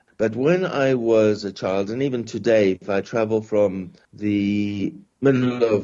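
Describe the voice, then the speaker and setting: A man with a South African accent, fairly low in pitch with ordinary pitch variation, at a fairly slow pace. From South Africa, Johannesburg. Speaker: professor. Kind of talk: podcast interview. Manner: halting, many repetitions and fillers.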